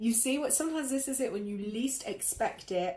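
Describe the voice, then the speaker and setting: A woman's somewhat breathy voice shows ordinary pitch variation. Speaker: tarot and energy reader. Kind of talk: live stream reading. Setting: live stream.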